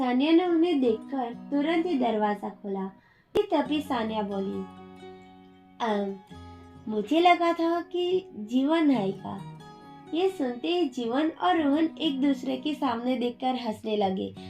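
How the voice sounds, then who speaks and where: A woman speaks at a very slow pace with very wide pitch swings. Music plays in the background. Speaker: audio story narrator. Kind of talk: read story.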